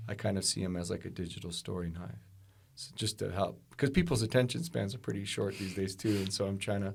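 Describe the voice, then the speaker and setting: Somewhat breathy, a man's voice moves at a fairly quick pace with a fairly low pitch. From Alaska. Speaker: storyteller. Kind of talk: casual chat. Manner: halting.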